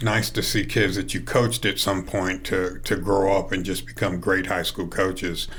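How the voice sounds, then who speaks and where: Audible room echo surrounds a man speaking with vocal fry. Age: 60s. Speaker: high school baseball coach. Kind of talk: interview.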